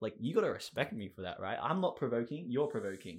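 The pace is very fast. The accent is Australian. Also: man. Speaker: podcast co-host. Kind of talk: casual chat. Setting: recording in a broom closet.

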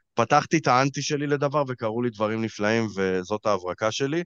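A normal speaking voice from a man at a moderate pace, ordinary pitch variation, dry and close with no echo, quiet background. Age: 30s. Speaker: life coach and podcast host. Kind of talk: casual chat.

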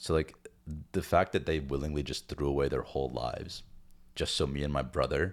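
A man with an American accent speaks at a fairly quick pace. His very deep, low voice carries vocal fry and ordinary pitch variation. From US, child of Indian immigrants. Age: 20s. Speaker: podcast co-host. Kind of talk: casual chat.

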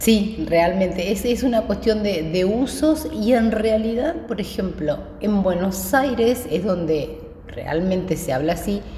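A woman speaks with lively intonation. Noticeable background noise and audible room echo surround her voice. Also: medium pitch for a woman, fairly slow pace. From Patagonia, Argentina (Neuquén). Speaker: interview guest. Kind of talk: casual interview.

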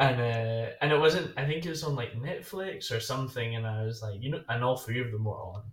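With hardly any pauses, a man talks at a fairly quick pace in a somewhat breathy voice, at a medium pitch with ordinary pitch variation. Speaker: podcast co-host. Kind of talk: casual chat.

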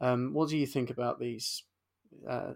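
The man's voice sits at a medium pitch and shows vocal fry. He talks at a fairly slow pace with fairly even intonation.

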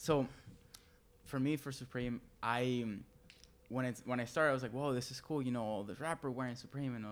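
At a fairly quick pace with long, frequent pauses, a man with a Spanish accent speaks at a medium pitch with fairly even intonation. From Venezuela, Maracaibo. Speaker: fashion designer and fast food worker. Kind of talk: casual chat.

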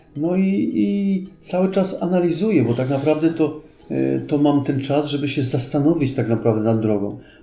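Over noticeable background noise and audible room echo, a man with a fairly high pitch speaks at a moderate pace with lively intonation and very even loudness. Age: 40s. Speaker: retired police officer, pilgrim. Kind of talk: casual interview.

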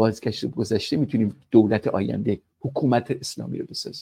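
At a moderate pace, a man talks in a dark, mellow tone with vocal fry. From Tehran, Iran. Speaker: political analyst. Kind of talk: live panel discussion. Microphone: laptop mic with some background noise.

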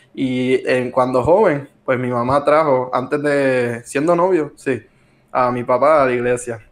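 Pitch moves in an ordinary way across a very slow delivery. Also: man. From Puerto Rico, Arecibo. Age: 20s. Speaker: accounting student. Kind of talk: casual chat about faith.

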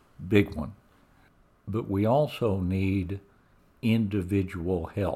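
A man with a fairly low pitch and a dark, mellow, somewhat breathy tone speaks at a very slow pace. His pitch varies in an ordinary way, and he leaves long, frequent pauses. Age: 70s. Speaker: business executive. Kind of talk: testimony.

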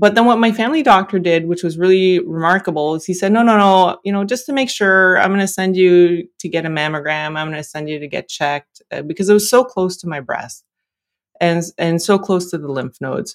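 With a Canadian accent, a woman talks in a plain, everyday voice at medium pitch and a fairly quick pace, with ordinary pitch variation on a very clean recording with a silent background. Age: 40s. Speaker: engineer and cancer patient. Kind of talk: interview testimony.

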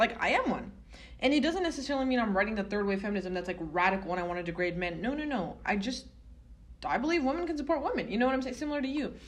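Amid noticeable background noise and audible room echo, a woman talks at a very fast pace with very wide pitch swings. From Southern California. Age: 20s. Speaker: student podcast co-host. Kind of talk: casual chat.

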